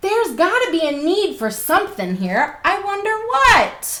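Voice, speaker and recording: In a put-on character voice pitched extremely high, a woman talks at a moderate pace with very wide pitch swings. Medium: read story.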